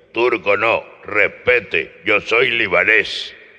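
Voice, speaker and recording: A man in a put-on character voice at a very slow pace. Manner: indignant, correcting.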